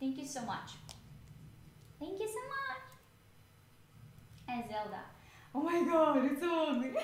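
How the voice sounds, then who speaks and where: In a room with audible echo, a high-pitched woman with a Russian accent speaks at a fairly slow pace with lively intonation and long, frequent pauses. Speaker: cosplayer streamer. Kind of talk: livestream chat. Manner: halting.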